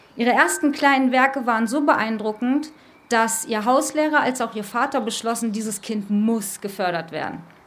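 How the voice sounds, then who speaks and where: Audible room echo surrounds a woman speaking at a moderate pace. Her pitch is fairly high, with ordinary variation. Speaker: cultural coordinator and radio presenter. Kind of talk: live talk before an audience. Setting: stage with audience. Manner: emotional, voice drops.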